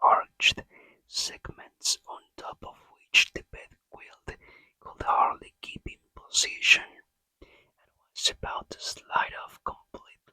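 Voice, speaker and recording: The speaker is whispering. The pace is very slow. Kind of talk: ASMR book reading. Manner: soft-spoken.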